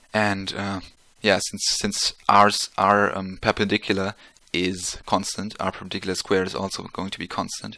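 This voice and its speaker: Recorded very cleanly against a silent background, a man speaks at a moderate pace. His tone is bright and sharp, his intonation flat and monotone. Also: fairly low pitch for a man. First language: not English. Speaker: physics tutor. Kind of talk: tutorial. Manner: halting, many fillers; casual.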